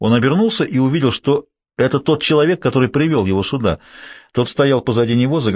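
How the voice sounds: In a natural reading voice with ordinary pitch variation, the speaker is heard against a quiet background.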